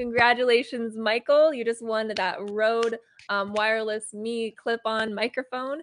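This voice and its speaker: Against a quiet background, a woman with an unremarkable speaking voice talks at a fairly slow pace in a fairly high pitch, the sound dry and close with no echo. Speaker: giveaway co-host. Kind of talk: live stream giveaway announcement. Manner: bubbly.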